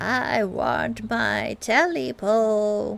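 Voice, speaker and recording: Putting on a character voice, a woman sounds hoarse and croaky at medium pitch while faint music plays in the background. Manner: eerie, menacing.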